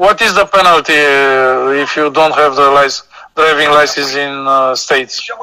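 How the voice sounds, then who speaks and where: With a Romanian accent, a man speaks at a fairly slow pace in a fairly high pitch with ordinary pitch variation. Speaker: guest. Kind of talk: casual chat. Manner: halting.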